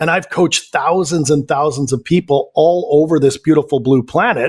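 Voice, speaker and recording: With a Canadian accent, a man talks at a moderate pace in a fairly high pitch with ordinary pitch variation, the sound dry and close with no echo. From western Canada, Vancouver. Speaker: life coach. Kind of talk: interview.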